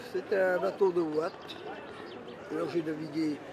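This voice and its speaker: Crowd noise fills the background. A man is speaking over it. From Brittany, Morbihan (Le Bono). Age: 80s+. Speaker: retired butcher, former fisherman. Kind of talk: interview. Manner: halting.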